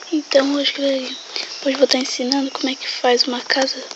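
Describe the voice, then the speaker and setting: The speaker talks at a fairly quick pace amid noticeable background noise. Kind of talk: casual game tutorial.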